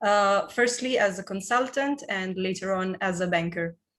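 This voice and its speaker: This woman speaks with an Italian accent at a medium pitch. The background is quiet. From Italy. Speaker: business consultant. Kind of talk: panel discussion.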